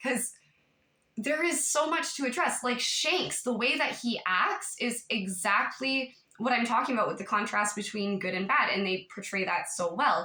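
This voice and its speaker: The speaker moves at a moderate pace with lively intonation. Audible room echo surrounds the voice. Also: woman, high pitch for a woman. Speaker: YouTube commentator. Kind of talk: casual vlog monologue. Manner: animated.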